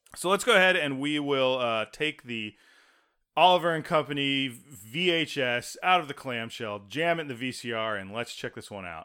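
A man with a plain, everyday voice, fairly high pitch and a moderate pace. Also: lively intonation. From Texas. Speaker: podcast co-host. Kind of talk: casual chat.

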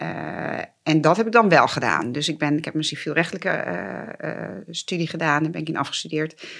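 With vocal fry and ordinary pitch variation, a woman speaks at a fairly quick pace in a very deep, low pitch. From Netherlands, Twente (Borne). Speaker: judge, former defense lawyer. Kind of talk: interview conversation. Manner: hesitant with fillers and repetitions.

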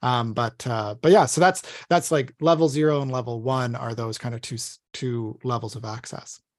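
A man's normal speaking voice at medium pitch, moderate pace and ordinary pitch variation, with big swings in loudness, hardly any pauses and a quiet background. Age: 30s. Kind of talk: podcast interview.

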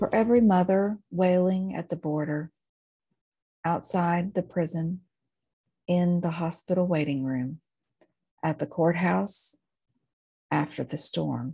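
Over a quiet background, a woman speaks at a fairly slow pace with long, frequent pauses in a fairly low, somewhat breathy voice with a dark, mellow tone, an intense, solemn tone, and ordinary pitch variation. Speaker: podcast host and minister. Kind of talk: fervent pastoral prayer, spoken as a lament and litany. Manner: intense, solemn, pleading, with emotional fervor; slow, rhythmic and cadenced, like a litany.

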